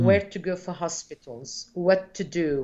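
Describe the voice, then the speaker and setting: A woman's voice at a fairly slow pace. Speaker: guest. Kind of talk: interview answer. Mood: warm, reflective. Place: home room. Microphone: video call.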